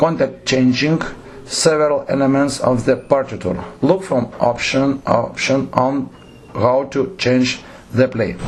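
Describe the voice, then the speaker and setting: A man with a non-native accent talks at a fairly slow pace and medium pitch, with ordinary pitch variation and very even loudness, amid noticeable background noise and audible room echo. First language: Lithuanian. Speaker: theatre director. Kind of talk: lecture. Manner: halting.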